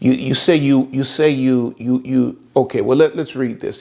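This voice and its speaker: In a Southern US accent, a man talks at a medium pitch with ordinary pitch variation. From US South. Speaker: pastor. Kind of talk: sermon.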